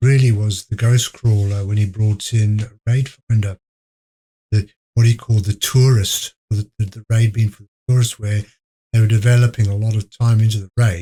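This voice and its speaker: This man's voice is quiet, somewhat breathy and dark and mellow in tone, at a medium pitch. He talks at a moderate pace with fairly even intonation and long, frequent pauses. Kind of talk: podcast interview answer. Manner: very quiet.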